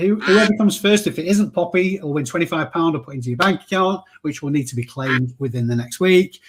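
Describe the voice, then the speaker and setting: With a northern English accent, a man speaks at a fairly quick pace. His pitch is high and his intonation lively. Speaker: reseller vlogger. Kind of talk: live stream giveaway. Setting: live stream with chat. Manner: casual, chatty.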